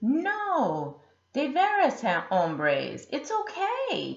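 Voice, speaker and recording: Using a put-on character voice, a woman talks at a very slow pace in a high pitch. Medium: read story. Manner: smooth, purring.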